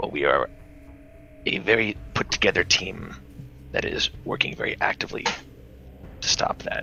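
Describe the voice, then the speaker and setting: Someone performs a put-on character voice with a raspy edge, keeping a moderate pace while clear background noise runs underneath. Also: man. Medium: actual play. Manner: earnest, courteous.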